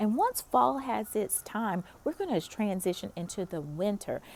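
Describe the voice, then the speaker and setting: Her pitch is medium for a woman, swinging very widely as she speaks at a moderate pace. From US South, North Carolina. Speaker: pastor. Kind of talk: encouraging devotional talk. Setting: outdoors in a park. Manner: casual, conversational.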